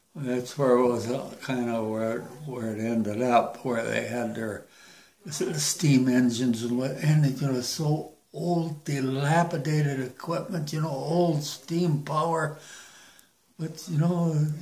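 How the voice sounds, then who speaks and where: Audible room echo surrounds a man speaking at a fairly slow pace in a fairly high pitch. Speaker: war veteran. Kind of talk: casual chat. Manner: halting.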